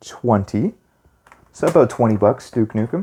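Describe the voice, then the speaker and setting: A quiet man's voice, dark and mellow in tone, at a fairly slow pace. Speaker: retro gaming youtuber. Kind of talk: casual video monologue. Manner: quieter, keeping voice down.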